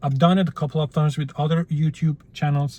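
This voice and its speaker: Somewhat breathy and dark, mellow in tone, a man with a non-native accent speaks at a fairly high pitch and fairly quick pace in a dry, close sound with no echo. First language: not English. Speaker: YouTuber. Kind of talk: casual vlog monologue. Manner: halting, with fillers.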